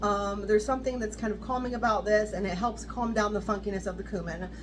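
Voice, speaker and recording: With an American accent, a woman speaks at a very fast pace. Audible room echo and noticeable background noise fill the recording. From US West Coast (southern California). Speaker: fragrance reviewer. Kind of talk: product review. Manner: reading notes aloud.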